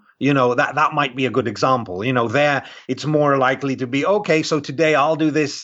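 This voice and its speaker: Speaking at a moderate pace with a British accent, a man uses a fairly high pitch and ordinary pitch variation. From UK. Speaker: world traveler and sociologist. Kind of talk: casual interview chat.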